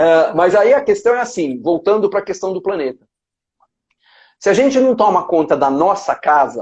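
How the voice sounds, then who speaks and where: The background is quiet. The pace is moderate. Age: 60s. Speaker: pediatrician, breastfeeding expert. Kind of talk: live-stream interview conversation.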